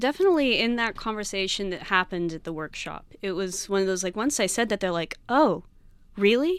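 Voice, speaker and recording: In a very clean recording with a silent background, a woman with an American accent talks in a normal speaking voice at medium pitch with lively intonation. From Texas, San Antonio. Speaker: evolutionary biology PhD student. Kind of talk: casual interview chat.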